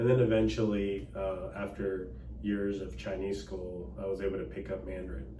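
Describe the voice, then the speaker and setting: A man speaks with a very deep, low pitch and very wide pitch swings. Noticeable background noise and audible room echo fill the recording. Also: moderate pace. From Dallas, Texas. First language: Cantonese. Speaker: attorney and political candidate. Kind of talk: interview. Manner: casual, hesitant with fillers.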